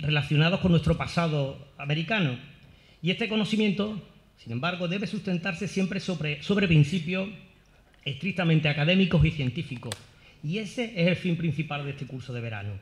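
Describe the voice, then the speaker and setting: With a Sevillian accent, a man speaks at a high pitch and fairly quick pace, his intonation lively. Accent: Seville Andalusian Spanish. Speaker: academic, course director. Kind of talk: formal opening speech. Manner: formal; hesitant, with fillers and repetitions.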